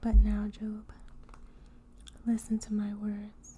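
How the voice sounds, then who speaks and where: At a fairly slow pace and fairly high pitch, a soft-spoken woman talks in a gentle tone over noticeable background noise. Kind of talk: soft-spoken ASMR Bible reading. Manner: soft-spoken, gentle.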